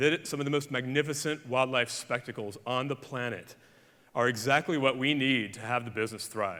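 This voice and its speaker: In an Alabama accent, a man with a bright, sharp tone and medium pitch speaks with fairly even intonation on a very clean recording with a silent background. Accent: Southern US (Alabama). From Alabama, US South. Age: 40s. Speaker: conservationist. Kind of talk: conference keynote talk. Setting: stage with audience.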